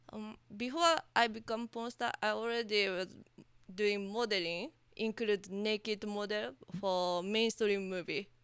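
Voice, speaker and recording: At a fairly slow pace, a woman speaks with medium pitch and ordinary pitch variation. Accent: Japanese. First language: Japanese. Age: 30s. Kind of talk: interview. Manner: halting.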